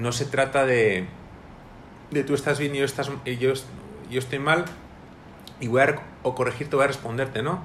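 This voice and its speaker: This man talks at a moderate pace and a medium pitch, with fairly even intonation, long and frequent pauses, and audible echo from the room. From Spain, Madrid. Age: 30s. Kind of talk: interview. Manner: halting, with repetitions.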